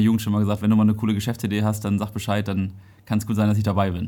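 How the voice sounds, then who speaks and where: Silent background and a very clean recording of a man's voice. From northern Germany, Dithmarschen. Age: 30s. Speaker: entrepreneur. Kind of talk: interview.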